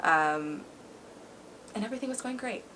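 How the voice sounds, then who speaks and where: Lively intonation and a very fast pace come through over noticeable background noise. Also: woman. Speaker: former cheerleader sharing her life story. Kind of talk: personal testimony in casual interview.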